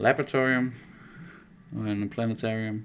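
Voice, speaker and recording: A man with a Danish accent speaks at medium pitch and a moderate pace, his intonation monotone and flat. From Denmark. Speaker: miniature painter streamer. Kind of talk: casual live stream commentary. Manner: halting, many fillers.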